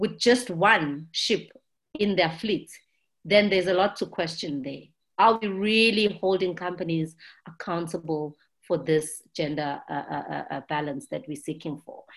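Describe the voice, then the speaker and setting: With a South African accent, a woman speaks using lively intonation. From South Africa, township. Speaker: ship captain, maritime advocate. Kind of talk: interview answers, conversational. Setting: remote recording, video call.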